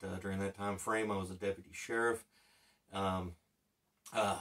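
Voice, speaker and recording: A man keeps to a moderate pace, and the background stays quiet. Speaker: channel host, former instructor. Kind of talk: casual vlog chat. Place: home room.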